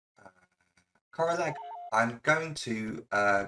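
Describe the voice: A man's voice with vocal fry, lively intonation and a bright, sharp tone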